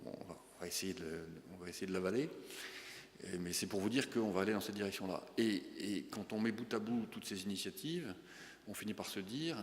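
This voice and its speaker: A man with a fairly low pitch, ordinary pitch variation and a fairly quick pace broken by long, frequent pauses. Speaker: bank chief executive. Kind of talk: business breakfast talk with Q&A. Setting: breakfast meeting with audience. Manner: fast; hesitant, many fillers.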